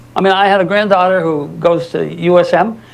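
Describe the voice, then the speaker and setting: The man's tone is animated. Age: 70s. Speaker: lawyer and guest lecturer. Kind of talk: lecture.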